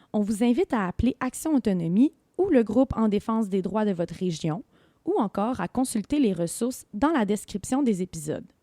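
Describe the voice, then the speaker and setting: On a very clean recording with a silent background and a dry, close sound with no echo, a woman with a dark, mellow tone speaks at a moderate pace, her fairly high pitch making very wide swings. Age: 20s. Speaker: podcast host and community organization trainer. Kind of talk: scripted narration. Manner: formal.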